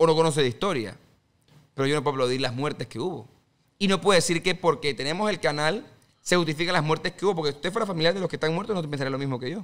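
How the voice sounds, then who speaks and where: With ordinary pitch variation, a man's words come at a very fast pace. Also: fairly high pitch for a man. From Panama. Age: 20s. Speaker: politician; podcast guest, candidate. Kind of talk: interview. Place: studio. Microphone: studio mic.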